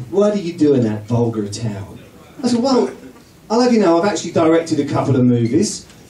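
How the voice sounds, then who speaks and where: Amid noticeable background noise and audible room echo, a high-pitched man with an English accent speaks at a fairly quick pace, his pitch swinging very widely. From England. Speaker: comedian. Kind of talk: stand-up. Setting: stage with audience. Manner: animated.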